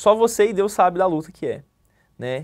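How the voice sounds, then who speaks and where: A man's voice with ordinary pitch variation. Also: quiet background. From Brazil, Minas Gerais (Araújos); Minas Gerais, Brazil. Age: 20s. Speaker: police clerk, exam candidate; candidate. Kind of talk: interview. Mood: calm, reflective. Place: studio. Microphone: lapel.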